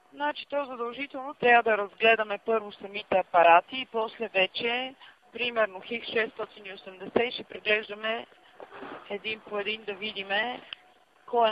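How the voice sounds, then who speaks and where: A woman speaks at a fairly high pitch and a moderate pace, with big swings in loudness. Noticeable background noise is present. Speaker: phone company operator. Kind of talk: customer service call. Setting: phone line.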